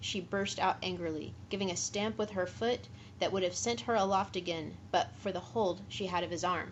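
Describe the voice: The speaker is doing plain reading aloud. That is all the delivery consists of.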